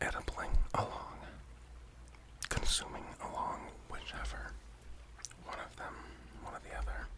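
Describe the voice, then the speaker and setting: Whispering in a relaxed tone, a man keeps a moderate pace with long, frequent pauses over noticeable background noise. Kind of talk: ASMR whispering, casual talk to camera while dabbing. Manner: casual, relaxed, slightly rambling, with cursing.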